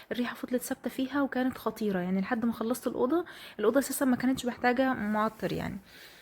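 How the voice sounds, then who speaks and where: A woman's high voice with an Egyptian accent, very fast with hardly any pauses and ordinary pitch variation. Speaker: home vlogger. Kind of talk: vlog voiceover narration. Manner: casual, hesitant fillers.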